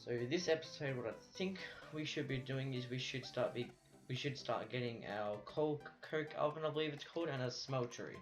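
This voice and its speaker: Music plays in the background as a man with a fairly high pitch talks at a fairly quick pace with ordinary pitch variation. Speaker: gaming video creator. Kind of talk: let's play commentary. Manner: stuttering, stumbles over words.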